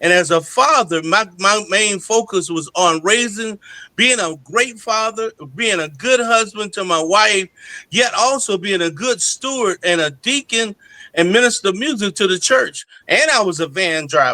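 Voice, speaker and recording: This man's voice is high-pitched, bright and sharp, raised and projected. His intonation is lively, and the sound is dry and close with no echo. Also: moderate pace. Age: 60s. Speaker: gospel singer and pastor. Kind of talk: interview testimony.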